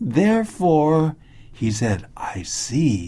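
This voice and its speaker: Someone with an English accent speaks very slowly on a very clean recording with a silent background. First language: English (speaking Chinese). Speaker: school principal. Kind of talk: casual interview, English teaching. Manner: halting.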